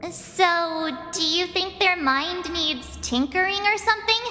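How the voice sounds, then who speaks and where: An extremely high put-on character voice at a fairly slow pace, with clear background noise. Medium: video game. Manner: casual, inquisitive.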